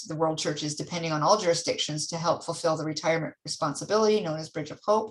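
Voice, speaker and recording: A woman with an unremarkable speaking voice and fairly low pitch, on a very clean recording with a silent background. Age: 60s. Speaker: church mission center leader. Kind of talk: church council meeting presentation; casual chat.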